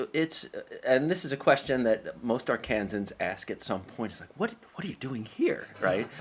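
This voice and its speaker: A man with an American accent speaks at a moderate pace and a fairly high pitch. His pitch swings very widely, and his loudness swings a lot too. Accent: slight New York accent, comes out at times. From New York, Brooklyn. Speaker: English professor. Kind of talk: podcast interview.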